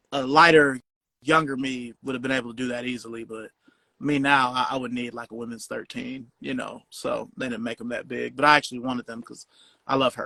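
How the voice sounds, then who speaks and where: A man speaks at a fairly quick pace in a medium pitch with an American accent, his bright, sharp tone held to a flat monotone while his loudness swings widely, all in a dry, close recording with no echo. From Cleveland, Ohio. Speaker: podcast host. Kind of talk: casual interview chat.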